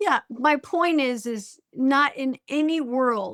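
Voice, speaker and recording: A woman's high-pitched voice on a very clean recording with a silent background. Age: 50s. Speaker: high school teacher and fitness app member. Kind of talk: interview conversation. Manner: halting, repeats words.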